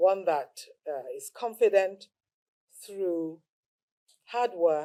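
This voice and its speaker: At a very slow pace, a woman speaks with medium pitch, ordinary pitch variation and a dark, mellow tone. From Lagos, Nigeria (born in England, moved back as a child). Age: 60s. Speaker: lawyer and traditional title contestant. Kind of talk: interview. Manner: hesitant fillers.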